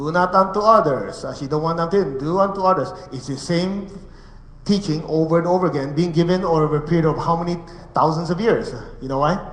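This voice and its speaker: Against noticeable background noise and audible room echo, a man talks at a fairly quick pace in a high pitch with ordinary pitch variation. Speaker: meditation teacher. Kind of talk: spiritual lecture. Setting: room with live audience and translators. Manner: fast.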